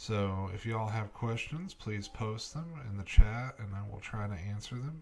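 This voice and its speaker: This man talks softly in an American accent at a moderate pace, with hardly any pauses and ordinary pitch variation. Noticeable background noise sits behind him. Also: fairly low pitch for a man. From Kentucky. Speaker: broadcast meteorologist. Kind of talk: live weather commentary. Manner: soft-spoken, keeping voice down.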